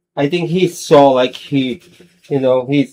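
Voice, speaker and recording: With a non-native accent, this voice has a dark, mellow tone, a fairly slow pace and ordinary pitch variation. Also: man. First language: not English. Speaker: sim racing streamer. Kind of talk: casual live stream chat. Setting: home studio live stream. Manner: halting, many fillers.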